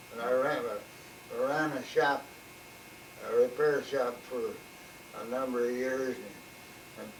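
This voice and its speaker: Speaking fairly slowly with a Midwestern US accent, a man holds a medium pitch in a flat monotone, his loudness swinging widely between long, frequent pauses, over noticeable background noise and audible room echo. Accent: US Midwest. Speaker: retired mechanic. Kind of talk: oral history interview. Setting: at home. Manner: halting.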